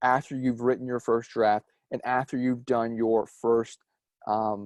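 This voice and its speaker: A man's dark, mellow voice, dry and close with no echo, over a quiet background. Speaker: student guest speaker. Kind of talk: online lecture. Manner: halting, many fillers and repetitions.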